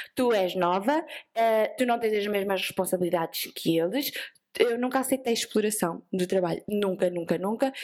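In a very clean recording with a silent background, a woman with a coastal Portuguese accent speaks at a moderate pace and medium pitch in an animated tone, with ordinary pitch variation and very even loudness. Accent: sing-song coastal Portuguese. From Portugal, Vieira (coastal). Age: 20s. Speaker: productivity entrepreneur, co-founder. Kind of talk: casual interview chat.

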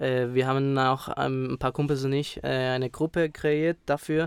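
Fairly slow, fairly even speech from a man, dry and close with no echo, on a very clean recording with a silent background. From Spain. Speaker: rapper. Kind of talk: interview.

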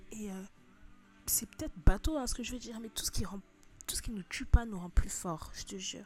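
A moderate pace with music in the background. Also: woman. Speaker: content creator giving advice. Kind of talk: casual motivational vlog. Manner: animated, slang-heavy.

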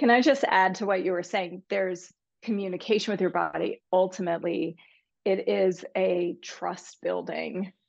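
A woman talks with vocal fry. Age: 40s. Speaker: psychologist, eating disorders specialist. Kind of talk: casual interview.

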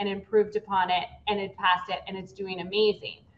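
A woman at medium pitch and a moderate pace, with an ordinary speaking voice. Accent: American. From US West Coast, San Francisco Bay Area. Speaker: political candidate. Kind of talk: interview.

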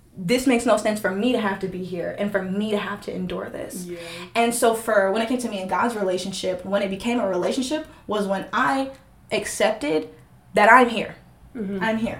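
Amid audible room echo, a woman speaks at a fairly quick pace with ordinary pitch variation. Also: medium pitch for a woman. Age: 20s. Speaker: podcast guest sharing testimony. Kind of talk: casual chat. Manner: animated.

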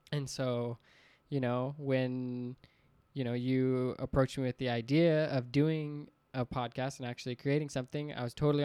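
A normal speaking voice at a moderate pace, with fairly even intonation and a dry, close sound with no echo, on a very clean recording with a silent background. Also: man. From Utah. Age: 20s. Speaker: student podcast host. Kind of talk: casual chat.

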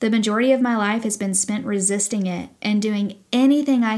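A woman speaks with a Southern US accent at a fairly high pitch. The recording is very clean, with a silent background. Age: 30s. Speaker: podcast host. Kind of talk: personal storytelling monologue. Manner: casual, with fillers.

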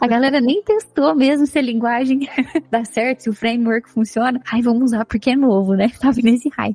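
Over music in the background, a woman speaks at a fairly quick pace in a high pitch, with ordinary pitch variation, very even loudness and a dry, close sound with no echo. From Minas Gerais, Brazil. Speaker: podcast co-host, tech professional. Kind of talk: casual chat.

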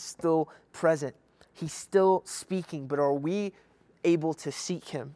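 An animated tone with ordinary pitch variation and an American accent, the sound dry and close with no echo on a very clean recording with a silent background. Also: man. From Kentucky. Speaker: youth pastor. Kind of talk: youth sermon. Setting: livestream video. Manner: casual, animated.

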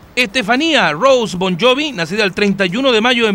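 Noticeable background noise surrounds a man speaking in a raised, projected voice with a Chilean accent. His pitch is high, and his intonation is lively. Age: 40s. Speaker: radio host. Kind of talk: casual chat. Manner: animated.

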